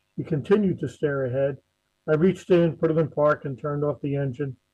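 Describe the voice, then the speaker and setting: A man with a New Jersey accent, fairly high-pitched, at a fairly quick pace with fairly even intonation. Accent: New Jersey American. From New Jersey, US. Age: 60s. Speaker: encephalitis survivor, retired emergency manager. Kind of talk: personal testimony talk.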